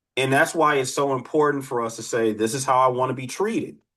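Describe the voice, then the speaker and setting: Bright and sharp in tone, a man speaks at a medium pitch and a moderate pace. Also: quiet background. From Detroit, US Midwest. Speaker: criminologist and dating coach. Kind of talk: live online workshop with Q&A.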